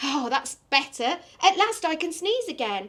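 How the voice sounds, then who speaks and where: A woman performs a put-on character voice that is squeaky and extremely high in pitch. Her pitch swings very widely. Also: moderate pace. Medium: read story. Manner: fussy, grumbling.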